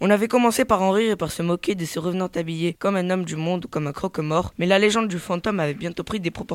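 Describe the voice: Pitch moves in an ordinary way throughout this plain reading aloud.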